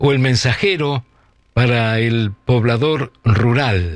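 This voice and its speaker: Lively intonation marks this man's speech. He talks very slowly. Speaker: radio host. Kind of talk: radio show introduction.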